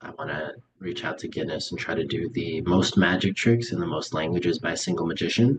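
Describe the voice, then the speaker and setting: A man's very deep, low, somewhat breathy voice at a fairly quick pace. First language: Russian. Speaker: magician. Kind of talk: interview.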